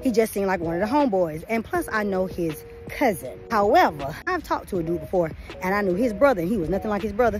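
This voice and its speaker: Over music in the background, a woman talks at a very fast pace in an animated tone with very wide pitch swings. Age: 40s. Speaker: vlogger. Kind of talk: casual vlog chat.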